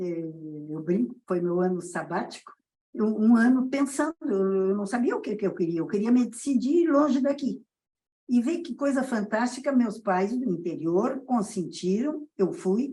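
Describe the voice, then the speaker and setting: A woman's fairly high, dark and mellow voice in a southern Brazilian accent, with very wide pitch swings and a fairly slow pace. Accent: gaúcho Brazilian Portuguese. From southern Brazil, Rio Grande do Sul. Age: 80s+. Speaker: pediatrician. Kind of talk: interview.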